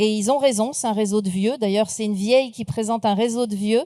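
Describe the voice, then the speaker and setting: Her voice sits fairly high for a woman, with a dark, mellow tone and ordinary pitch variation. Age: 60s. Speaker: speaker and trainer, former recruiter. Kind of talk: conference talk.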